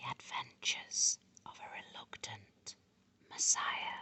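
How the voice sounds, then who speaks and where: The voice whispers at a very slow pace. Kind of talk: ASMR book reading. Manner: whispered.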